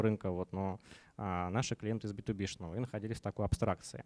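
Over a quiet background, a man with a fairly low pitch speaks at a very fast pace. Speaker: company founder; conference speaker. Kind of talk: conference talk. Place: meeting room. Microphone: handheld.

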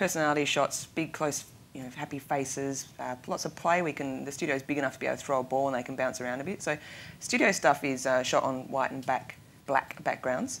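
Very fast and very deep, low in pitch, a woman talks with fairly even intonation over light background noise. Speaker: guest. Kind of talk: interview answer. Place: studio. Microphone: lapel.

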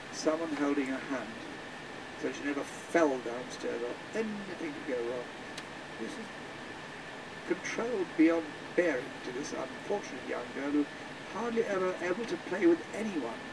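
A man at a moderate pace, with long, frequent pauses, over noticeable background noise. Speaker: tour guide. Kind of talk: storytelling commentary.

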